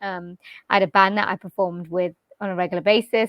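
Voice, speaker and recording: A woman at medium pitch with a Welsh accent, talking at a fairly quick pace. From Wales, UK. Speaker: jazz vocalist and voice-over artist. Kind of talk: interview answer. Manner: casual, conversational.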